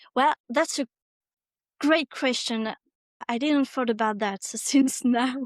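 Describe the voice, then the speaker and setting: Pausing long and often, a woman with a French accent speaks at a very slow pace and a high pitch, with a dry, close sound with no echo. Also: fairly even intonation, quiet background. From France. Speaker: specialized teacher. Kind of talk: interview. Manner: halting.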